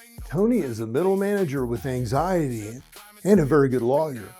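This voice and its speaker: Lively intonation from a man with a fairly high pitch, at a moderate pace, with music in the background. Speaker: comedian, late-night host. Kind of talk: late-night comedy monologue.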